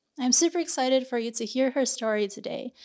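A woman speaks with a high voice and an American accent. Her pitch moves in an ordinary way, and the sound is dry and close with no echo. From United States. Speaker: podcast host. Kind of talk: podcast interview.

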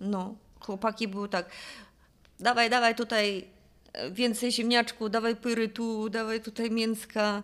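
A woman with fairly high pitch talks at a fairly slow pace. Her intonation is monotone and flat, with long, frequent pauses. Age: 50s. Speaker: jiu-jitsu athlete. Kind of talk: casual chat. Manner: halting.

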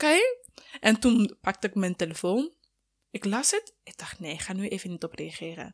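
A woman talks at a moderate pace and medium pitch with lively intonation and big swings in loudness. The recording is very clean with a silent background and a dry, close sound with no echo. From Sierra Leone. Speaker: student and mother. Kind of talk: casual interview.

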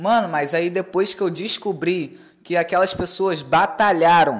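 Fairly slow speech from a man with a high pitch. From Brazil, Rio de Janeiro state countryside (Campos). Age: 20s. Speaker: podcast host, investor and salesman. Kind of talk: casual chat.

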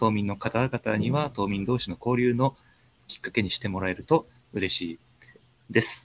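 In a dry, close recording with no echo, a man with a normal speaking voice talks at a moderate pace, at a medium pitch with ordinary pitch variation. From Ishikawa Prefecture. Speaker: community interviewer, software engineer. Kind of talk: interview hosting. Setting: online live stream. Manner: formal.

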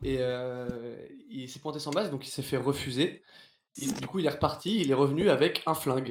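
A fairly high-pitched male voice with ordinary pitch variation and long, frequent pauses. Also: moderate pace. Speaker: theatre performer. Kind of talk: casual chat. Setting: live stream.

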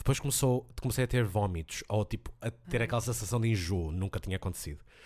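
A somewhat breathy man's voice, very deep and low in pitch, with lively intonation, on a very clean recording with a silent background. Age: 20s. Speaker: language teacher. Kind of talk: casual chat. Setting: home office.

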